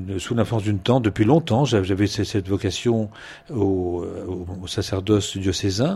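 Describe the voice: Here a man speaks at a low pitch with a dark, mellow tone. His intonation is fairly even and his pace moderate.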